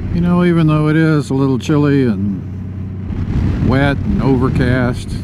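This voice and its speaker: Over noticeable background noise and audible room echo, a man with an American accent talks at a fairly slow pace, his intonation lively and his loudness very even. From US South. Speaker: motorcycle vlogger. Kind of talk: casual ride vlog narration. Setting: riding a motorcycle outdoors. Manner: heavy breathing; frequent ums.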